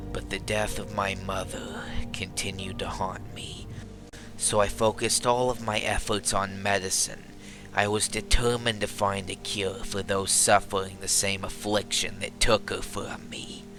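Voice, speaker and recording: A man uses a put-on character voice with a fairly low pitch at a moderate pace. Loud music plays in the background. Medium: machinima. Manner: reflective, somber storytelling.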